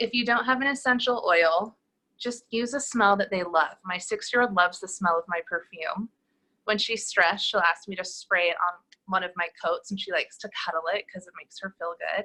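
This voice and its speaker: A woman's bright, sharp voice at medium pitch and a moderate pace, with ordinary pitch variation and big swings in loudness. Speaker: massage therapist. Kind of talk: tutorial.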